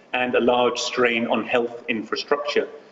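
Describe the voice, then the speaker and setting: The speaker has a British accent and a moderate pace. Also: man. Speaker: physician. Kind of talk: interview.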